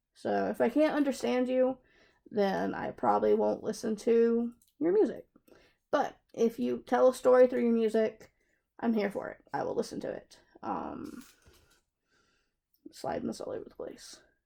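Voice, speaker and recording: A woman with a Southern US accent speaks at a moderate pace, leaving long, frequent pauses. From US South, South Carolina. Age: 20s. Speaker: craft hobby youtuber. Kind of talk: casual Q&A chat while crafting. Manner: chatty, hesitant with fillers.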